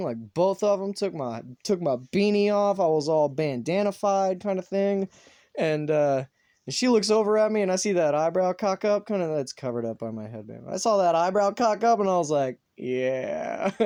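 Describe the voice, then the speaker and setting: Against a quiet background, a man talks at a moderate pace with a slight Southern US accent. His voice is high-pitched, with a dark, mellow tone and lively intonation. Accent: little Southern. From US South, North Carolina. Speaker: vlogger. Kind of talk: casual monologue.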